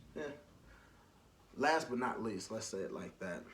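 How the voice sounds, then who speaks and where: A man talks at a medium pitch with an American accent. His pitch variation is ordinary. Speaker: podcast host. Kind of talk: casual monologue. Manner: loud.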